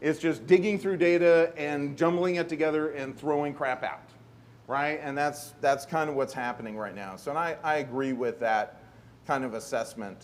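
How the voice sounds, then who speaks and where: Fairly high-pitched, this man's voice shows ordinary pitch variation. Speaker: conference panel speaker. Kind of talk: conference presentation. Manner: fast.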